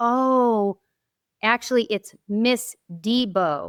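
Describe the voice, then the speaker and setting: The very clean recording, with a silent background and a dry, close sound with no echo, carries a voice with ordinary pitch variation. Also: woman. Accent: Boston. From Boston area, US. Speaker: former teacher, parent advocate. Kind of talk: podcast interview.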